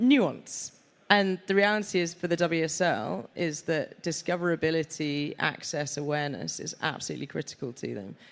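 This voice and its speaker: Spoken with a Yorkshire accent, this is a very clean recording with a silent background. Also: moderate pace. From Yorkshire, northern England. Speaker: sports media executive. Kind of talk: live panel discussion. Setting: stage with audience.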